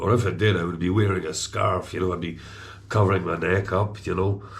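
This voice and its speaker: A man's very deep, low voice, somewhat breathy, at a fairly quick pace with audible room echo. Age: 60s. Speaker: vlogger. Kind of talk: casual chat. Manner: halting, many fillers.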